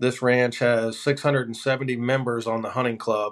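With an American accent, a man speaks at a moderate pace and medium pitch in a flat monotone. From Florida. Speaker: hunting outfitter. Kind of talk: casual chat.

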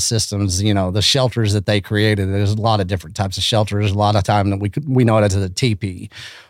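Talking very fast with hardly any pauses, a man with a West Texas accent keeps a fairly low pitch and fairly even intonation. The loudness is very even, in a very clean recording with a silent background. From Texas Panhandle (Canyon). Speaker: beef initiative founder, conference organizer. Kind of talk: casual chat.

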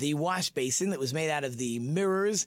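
On a very clean recording with a silent background, a man speaks at a moderate pace. His pitch is fairly high and his intonation lively. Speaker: rabbi and radio host. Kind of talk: radio talk show interview. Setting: studio. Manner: loud.

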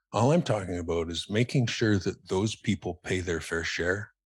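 With a western Canadian accent, a somewhat breathy man talks at a fairly quick pace with ordinary pitch variation on a very clean recording over a silent background. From Calgary, western Canada. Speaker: philanthropist and former lawyer. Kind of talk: casual interview chat.

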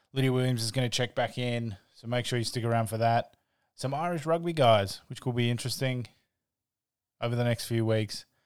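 A man with an Australian accent, medium pitch and fairly even intonation at a fairly quick pace, in a very clean recording with a silent background. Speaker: podcast host. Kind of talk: casual podcast chat.

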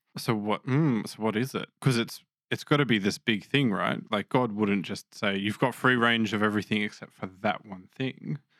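Recorded dry and close with no echo, a man with an Australian accent speaks at a fairly low pitch and a moderate pace, with ordinary pitch variation and hardly any pauses. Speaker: Bible podcast host. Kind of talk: casual chat.

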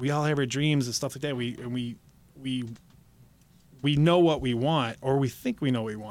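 In a very clean recording with a silent background, a man with a Midwestern American accent talks at a fairly quick pace, medium in pitch and with fairly even intonation. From Michigan, Detroit downriver area. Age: 40s. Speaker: pro wrestler and stuntman. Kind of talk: interview. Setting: studio. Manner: halting.

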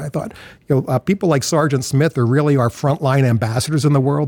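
Here is a man with a plain, everyday voice at medium pitch and ordinary pitch variation. The sound is dry and close, with no echo. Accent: American. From US, Philadelphia. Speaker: nonprofit founder and CEO. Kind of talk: interview.

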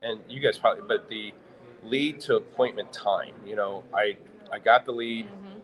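Noticeable background noise sits under a man who speaks at a moderate pace. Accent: American. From US Midwest, St. Louis, Missouri. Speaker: automotive software company owner. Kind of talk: live interview at trade show. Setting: live broadcast at trade show event.

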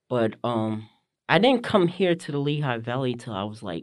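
In an American accent, a plain, everyday voice moves at a moderate pace with lively intonation over a quiet background. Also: man. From northern New Jersey. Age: 40s. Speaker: visually impaired abstract painter. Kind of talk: casual interview. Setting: studio.

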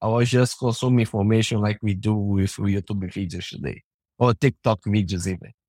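Dark, mellow tone in a Portuguese accent, ordinary pitch variation, dry and close sound with no echo, very clean recording with a silent background. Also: man. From Brazil. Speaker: software developer, open source framework core team member. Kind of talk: interview.

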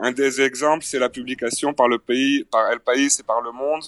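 A man's medium-pitched, flat monotone at a moderate pace, in a dry, close sound with no echo. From France. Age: 40s. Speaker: record label manager. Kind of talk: remote interview.

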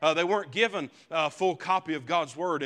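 On a very clean recording with a silent background, a man speaks fairly quickly in a high voice with a bright, sharp tone. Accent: American. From Appalachian mountains, US. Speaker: preacher. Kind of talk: sermon. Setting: church.

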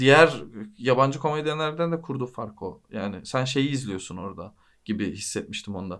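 A man with an ordinary speaking voice talks at a moderate pace, with lively intonation and big swings in loudness. The recording is very clean, with a silent background. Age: 30s. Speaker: podcast host. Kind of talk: casual chat.

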